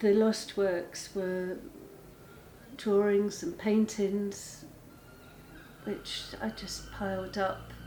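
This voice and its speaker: Audible room echo surrounds a woman of medium pitch who speaks at a very slow pace, with fairly even intonation and long, frequent pauses. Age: 60s. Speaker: artist. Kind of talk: documentary interview. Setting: art studio. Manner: halting.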